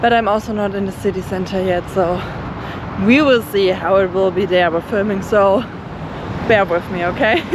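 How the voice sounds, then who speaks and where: A woman with a German accent at a moderate pace, over noticeable background noise. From Germany. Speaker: travel vlogger. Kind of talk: casual vlog narration.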